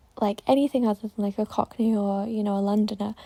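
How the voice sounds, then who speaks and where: A woman's fairly high voice with a dark, mellow tone comes through a very clean recording with a silent background and a dry, close sound without echo. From England, between the Midlands and South Yorkshire. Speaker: gaming content creator. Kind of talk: casual video commentary. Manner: filler-heavy, rambling delivery with many ums.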